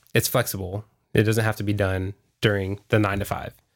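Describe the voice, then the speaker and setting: Recorded very cleanly against a silent background, the man speaks in a fairly low pitch with an American accent. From Texas, Houston. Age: 30s. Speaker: restaurant owner-operator. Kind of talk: casual interview.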